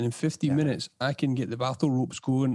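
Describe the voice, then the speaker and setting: A man's medium-pitched, dark, mellow voice with an Edinburgh accent, a very fast pace, and fairly even intonation, on a very clean recording with a silent background. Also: dry, close sound with no echo. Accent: Scottish (Edinburgh). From Scotland, Edinburgh. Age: 30s. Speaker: podcast host and property business owner. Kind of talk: casual interview chat.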